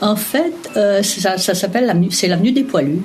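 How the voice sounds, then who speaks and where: Amid noticeable background noise and audible room echo, a woman speaks at a medium pitch and a fairly slow pace with lively intonation. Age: 60s. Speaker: retiree interviewed about memories. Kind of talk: interview. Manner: hesitant, many fillers.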